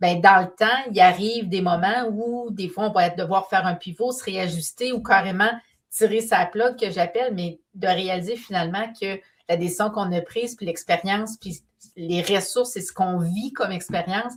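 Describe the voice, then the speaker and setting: A woman speaks with a Quebec accent and a somewhat breathy voice. Her pace is moderate and her intonation fairly even. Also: medium pitch for a woman. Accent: Québécois French. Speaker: painter and business mentor. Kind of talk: live stream talk.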